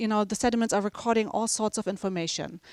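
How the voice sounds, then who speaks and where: A woman's fairly high voice, very cleanly recorded against total silence, dry and close with no echo. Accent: German. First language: German. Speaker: professor. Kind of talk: lecture. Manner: casual, with many fillers.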